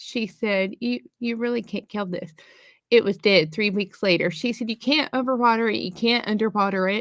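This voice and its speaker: A woman with a fairly high pitch speaks at a moderate pace, her pitch varying in an ordinary way. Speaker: live stream co-host. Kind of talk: casual chat. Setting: live stream. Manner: loud.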